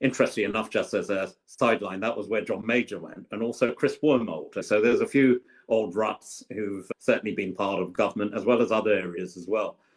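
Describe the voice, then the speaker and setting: Speaking at a moderate pace with a London accent, a man has a medium-pitched voice. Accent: southern English, London. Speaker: politician, former government minister. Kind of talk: podcast interview.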